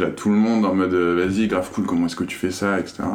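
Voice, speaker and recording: Amid noticeable background noise and audible room echo, a man speaks with a very deep, low pitch and fairly even intonation. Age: 20s. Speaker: media co-founder. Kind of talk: casual interview.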